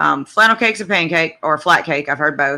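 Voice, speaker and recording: Someone speaks with a Southern US accent in a very clean recording with a silent background. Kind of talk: casual talk to camera.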